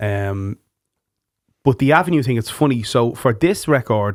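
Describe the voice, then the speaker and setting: A man with a Dublin accent, medium pitch, ordinary pitch variation and a moderate pace, in a dry, close sound with no echo. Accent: Irish, Dublin. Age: 30s. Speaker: podcast host and musician. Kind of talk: casual chat. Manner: animated.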